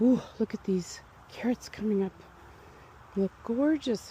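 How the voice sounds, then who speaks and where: Here a woman speaks at a very slow pace. Her pitch is fairly high. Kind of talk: ASMR garden vlog, thinking out loud. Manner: soft-spoken.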